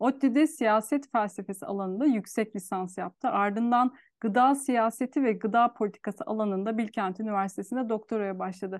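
In a dry, close recording with no echo and a quiet background, a woman with a normal speaking voice talks at a moderate pace, her fairly high pitch showing ordinary variation. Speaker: podcast host. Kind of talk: interview conversation. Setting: video call.

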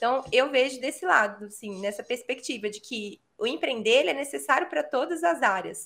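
With a Minas Gerais accent, a woman talks at a moderate pace in a high voice, her intonation lively, her loudness swinging widely and hardly any pauses. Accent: Minas Gerais (mineiro). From São Paulo, Brazil. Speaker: teacher and educational content creator. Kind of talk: casual interview chat.

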